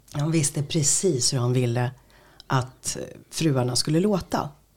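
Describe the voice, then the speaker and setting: A woman speaks in a very deep, low, somewhat breathy voice at a fairly slow pace. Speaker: radio host and voice-over artist. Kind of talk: interview.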